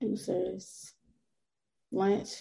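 Speaking very slowly in a South Florida accent, a woman has a medium pitch with little movement, a dark, mellow tone and vocal fry. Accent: Southern Florida American.

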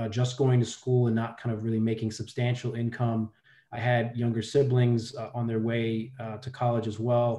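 With an American accent, a man talks at a moderate pace in a dark, mellow, somewhat breathy tone with monotone, flat intonation. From New York, Brooklyn. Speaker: philanthropy executive and Marine veteran. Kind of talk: interview.

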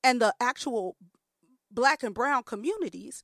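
Speaking at a moderate pace with an American accent, a woman uses a high pitch in a very clean recording with a silent background and a dry, close sound with no echo. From US Midwest, Chicago. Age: 40s. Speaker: playwright and arts director. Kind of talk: casual chat.

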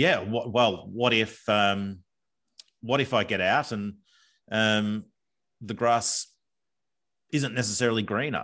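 Against a quiet background, a man with an Australian accent talks very slowly in a medium-pitched voice, his tone bright and sharp, his intonation fairly even, with long, frequent pauses. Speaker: former bank executive. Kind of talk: casual interview. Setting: video call from backyard workshop.

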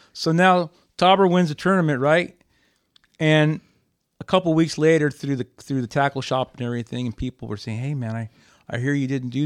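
A man with a plain, everyday voice talks at a fairly quick pace and a fairly high pitch, with ordinary pitch variation. The sound is dry and close with no echo, over a quiet background. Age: 60s. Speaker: bass fisherman. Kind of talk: casual chat. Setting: studio.

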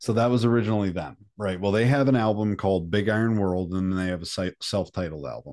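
With ordinary pitch variation, the words rush by at a very fast pace. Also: man, fairly low pitch for a man, very clean recording, silent background. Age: 30s. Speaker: metal musician. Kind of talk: casual chat.

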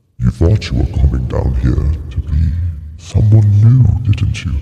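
At a moderate pace, someone performs a put-on character voice. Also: man, very deep, low pitch for a man. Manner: sinister.

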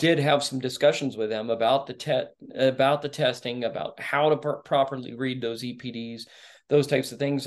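This man speaks with a Texan accent at a moderate pace and a medium pitch. His intonation stays fairly even over a quiet background. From Texas (Dallas suburbs). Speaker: rancher and Marine veteran. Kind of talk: casual interview chat. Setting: video call.

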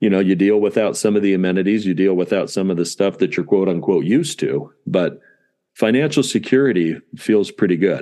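With an American accent, a man uses an ordinary speaking voice, fairly low in pitch with ordinary pitch variation. His loudness stays very even at a moderate pace against a quiet background. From Southern California. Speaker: dentist and practice owner. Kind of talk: interview.

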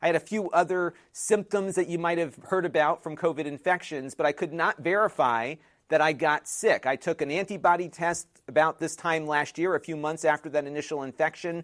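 A man with a normal speaking voice talks fairly quickly at a fairly high pitch with fairly even intonation, in a dry, close, echo-free, very clean recording with a silent background. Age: 40s. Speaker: tech video creator. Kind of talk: casual vlog monologue.

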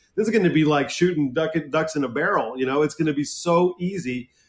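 This man's ordinary speaking voice sits at a fairly high pitch and moves at a moderate pace. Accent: American. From Southern California. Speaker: film director, writer and producer. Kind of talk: casual interview chat.

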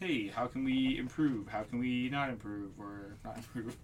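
A man speaks with an American accent at a moderate pace. There is audible room echo. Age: 30s. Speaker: podcast co-host. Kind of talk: casual chat.

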